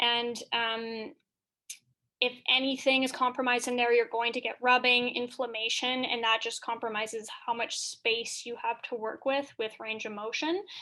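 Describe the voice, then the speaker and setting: Against a quiet background, a woman with a bright, sharp tone and a high pitch speaks at a moderate pace in a monotone, flat intonation. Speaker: physical therapy instructor. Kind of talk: lecture. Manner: many filler ums.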